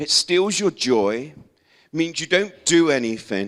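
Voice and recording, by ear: A man's fairly bright tone at a fairly slow pace, with lively intonation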